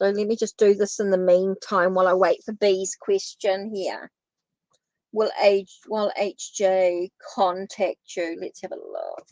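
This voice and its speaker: A woman with a New Zealand accent speaks at a medium pitch with monotone, flat intonation, in a dry, close sound with no echo. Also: big swings in loudness. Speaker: tarot reader. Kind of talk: live stream tarot reading and chat with viewers. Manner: casual, repetitive.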